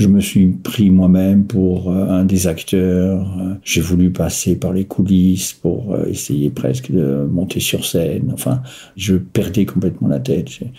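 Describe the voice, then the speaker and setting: Through noticeable background noise, a man with a very deep, low pitch speaks at a very slow pace. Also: ordinary pitch variation. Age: 60s. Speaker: person living with bipolar disorder, retiree. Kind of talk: personal testimony. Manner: hesitant, many filler sounds.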